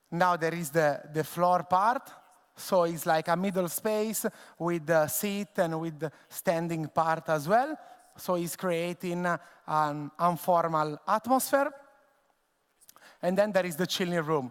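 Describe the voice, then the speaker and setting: Here a man speaks with an Italian accent. His voice sits high for a man. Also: ordinary pitch variation, fairly slow pace. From Italy, Tuscany. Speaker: bartender and bar owner. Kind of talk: conference presentation. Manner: halting, many fillers.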